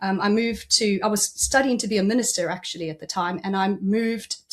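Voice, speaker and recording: A woman speaks with a South African accent at a moderate pace. Her pitch is medium and her intonation fairly even. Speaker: executive coach. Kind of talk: podcast interview.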